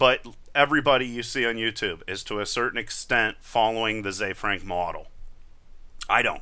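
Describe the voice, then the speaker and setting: At a moderate pace, a man speaks with a medium pitch, ordinary pitch variation and a bright, sharp tone. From rural area, farm. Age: 30s. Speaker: YouTube tutorial creator; YouTube creator. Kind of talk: live Q&A stream. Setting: live video stream. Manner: unscripted, off the cuff. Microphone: headset.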